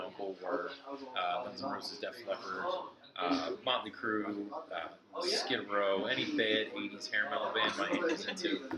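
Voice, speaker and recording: A man speaks at a fairly low pitch. Noticeable background noise and audible room echo fill the recording. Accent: American. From Philadelphia suburbs, US. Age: 30s. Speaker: professional musician. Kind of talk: oral history interview. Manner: halting, many fillers.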